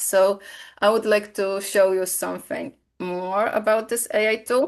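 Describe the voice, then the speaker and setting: A woman with a Polish accent speaks at a medium pitch over a quiet background. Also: ordinary pitch variation. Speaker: software presenter. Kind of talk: webinar product demo. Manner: halting, many fillers.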